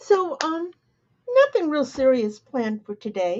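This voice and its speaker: Lively intonation marks this woman's somewhat breathy voice. She speaks at a fairly slow pace. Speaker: embroidery digitizing teacher. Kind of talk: live tutorial chat. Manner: casual, meandering.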